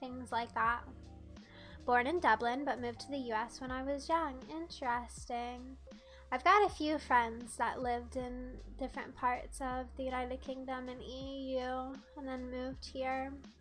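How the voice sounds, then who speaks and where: Audible room echo and noticeable background noise surround a woman talking fairly slowly. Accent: American. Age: 20s. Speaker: streamer. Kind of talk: casual chat. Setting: live stream. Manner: animated.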